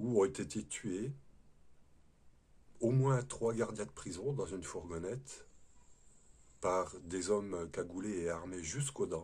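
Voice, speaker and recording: A man at a very slow pace. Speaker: spiritual video host, former prison guard. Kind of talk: spiritual talk to camera. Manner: hesitant, with fillers and repetitions.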